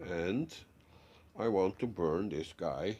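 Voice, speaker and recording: A man with a Dutch accent, fairly low in pitch, with a dark, mellow tone and a very slow pace. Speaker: DIY hobbyist. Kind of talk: tutorial. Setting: home workshop. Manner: halting.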